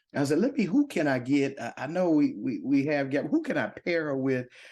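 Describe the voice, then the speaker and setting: Over a quiet background, a man with a Southern US accent talks in an animated tone with lively intonation. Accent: Southern drawl. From Louisville, Kentucky. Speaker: podcast host. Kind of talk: casual chat. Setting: coffee shop set.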